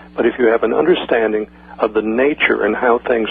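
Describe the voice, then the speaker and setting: Noticeable background noise accompanies a man speaking at a fairly quick pace with a medium pitch. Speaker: former intelligence agency associate. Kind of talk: radio interview. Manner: fast.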